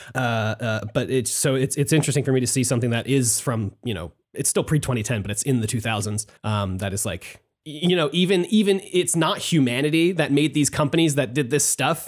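Speaking fairly quickly with hardly any pauses, a man at a medium pitch uses lively intonation on a very clean recording with a silent background. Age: 20s. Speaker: video game podcast co-host. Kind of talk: casual chat. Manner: animated.

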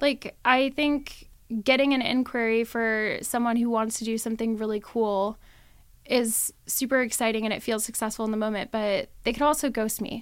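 A woman with a plain, everyday voice at a moderate pace and fairly even intonation, on a very clean recording with a silent background. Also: fairly high pitch for a woman. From Las Vegas, Nevada, US. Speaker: photographer. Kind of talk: interview. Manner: laughs often.

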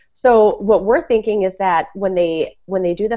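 A woman talks at a fairly quick pace in an animated tone. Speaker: school principal and podcast co-host. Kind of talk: casual chat. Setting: online call.

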